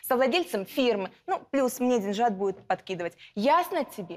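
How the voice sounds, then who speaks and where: A woman speaks in a high pitch with very wide pitch swings. Her pace is moderate. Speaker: defendant. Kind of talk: courtroom testimony. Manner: heated, confrontational. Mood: angry, contemptuous. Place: studio. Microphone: lapel.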